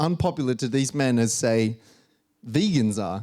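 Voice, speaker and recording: Moving at a moderate pace, a man with a medium pitch makes very wide pitch swings. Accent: Australian. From Australia. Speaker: stand-up comedian and engineer. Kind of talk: stand-up.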